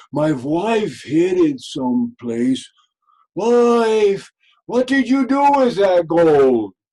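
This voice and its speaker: A man puts on a character voice, speaking very slowly in a high pitch with very wide pitch swings. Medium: read story. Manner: grumbling.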